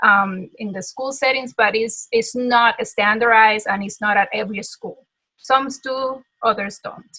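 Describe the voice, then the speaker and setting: With a Dominican accent, a woman speaks in a fairly high, bright, sharp voice with fairly even intonation and big swings in loudness. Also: fairly slow pace. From Dominican Republic. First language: Spanish. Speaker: music teacher. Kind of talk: interview.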